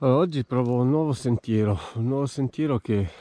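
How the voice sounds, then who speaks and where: A man speaks in a dark, mellow tone with ordinary pitch variation. The sound is dry, with no echo. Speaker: hiker vlogger. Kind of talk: casual vlog chat. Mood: enthusiastic. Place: open country. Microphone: phone near.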